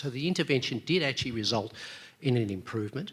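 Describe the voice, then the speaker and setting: Talking at a very fast pace, a man with an Australian accent shows ordinary pitch variation. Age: 60s. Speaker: audience member at a medical debate. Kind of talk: audience question at a conference debate. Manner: halting.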